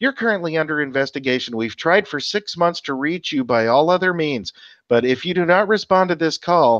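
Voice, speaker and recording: Over a quiet background, a robotic, put-on character voice moves at a fairly quick pace. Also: man, fairly high pitch for a man. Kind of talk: formal, official.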